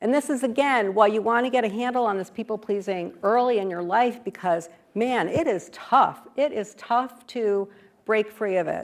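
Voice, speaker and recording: A woman's fairly high, plain, everyday voice at a moderate pace, with ordinary pitch variation. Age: 60s. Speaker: author and speaker on people-pleasing. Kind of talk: interactive talk / workshop presentation. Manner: conversational, with many fillers.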